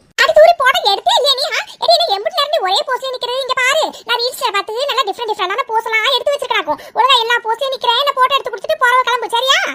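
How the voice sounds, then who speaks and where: A woman rattles along at a very fast pace in a cartoonish character voice with an extremely high pitch. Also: ordinary pitch variation. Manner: boastful, self-admiring.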